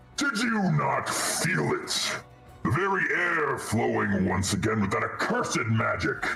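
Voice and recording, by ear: Putting on a booming, gravelly character voice with vocal fry and a bright, sharp tone, a man speaks slowly at a medium pitch, with audible room echo and faint music in the background. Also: ordinary pitch variation.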